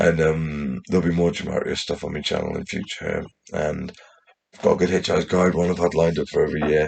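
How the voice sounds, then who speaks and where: A man talks at a very fast pace. His very deep, low voice stays monotone and flat. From England, West Midlands and Newcastle. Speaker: YouTuber. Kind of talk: casual monologue to camera. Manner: rambling, halting with restarts.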